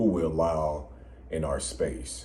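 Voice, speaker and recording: A man speaks very slowly with vocal fry and a dark, mellow tone, his voice carrying audible room echo. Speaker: podcast co-host. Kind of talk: casual chat. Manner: hard to hear, low volume.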